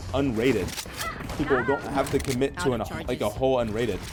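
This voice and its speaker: A man with an American accent talks very fast at a medium pitch over noticeable background noise. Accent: American, noticed by other players. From United States. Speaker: gaming streamer. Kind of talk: gameplay commentary. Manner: casual, many fillers.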